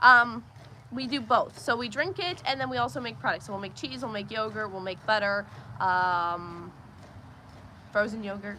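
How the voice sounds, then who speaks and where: In a bright, sharp tone, a woman speaks with lively intonation, big swings in loudness, and long, frequent pauses. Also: fairly high pitch for a woman, moderate pace. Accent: Pennsylvania. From Pennsylvania. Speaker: homesteader streaming farm chores. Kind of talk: live stream chat and Q&A.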